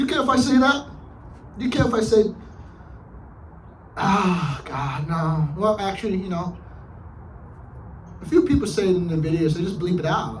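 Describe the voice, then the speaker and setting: A man talks at a moderate pace in a high voice with very wide pitch swings and long, frequent pauses. Audible room echo and noticeable background noise come through. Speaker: vlogger. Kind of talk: casual vlog monologue. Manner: hesitant, filler-heavy.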